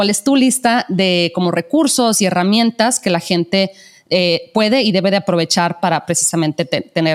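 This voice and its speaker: A woman's voice at medium pitch, moderate pace and lively intonation. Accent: strong northern Mexican. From northern Mexico. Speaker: podcast host. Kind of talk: casual interview. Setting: call.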